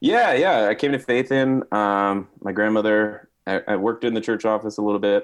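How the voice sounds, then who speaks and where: A man with a plain, everyday voice and an American accent speaks at a moderate pace and fairly low pitch, with fairly even intonation and hardly any pauses. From northeast New Jersey. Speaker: pastor. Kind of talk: casual interview.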